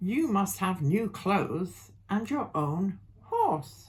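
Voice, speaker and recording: A woman's put-on character voice, very slow, medium in pitch, raised and projected, with very wide pitch swings. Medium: read story.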